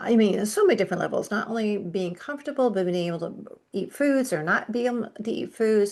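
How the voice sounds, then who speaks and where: Fairly high in pitch, a woman talks at a fairly quick pace with hardly any pauses and ordinary pitch variation. It is a normal speaking voice. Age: 60s. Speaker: functional medicine nutritionist. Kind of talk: podcast interview. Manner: conversational.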